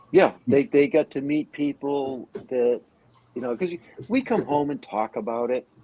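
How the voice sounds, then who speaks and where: A man with a fairly high pitch and a dark, mellow tone speaks with lively intonation. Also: moderate pace, dry, close sound with no echo. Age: 60s. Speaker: podcast co-host and furniture maker. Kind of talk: casual chat.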